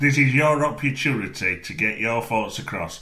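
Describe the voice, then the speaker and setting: In a strong Sheffield accent, a man talks at a moderate pace with lively intonation, and audible room echo surrounds his voice. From northern England, Sheffield. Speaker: film podcast co-host. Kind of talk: casual chat. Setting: podcast recording.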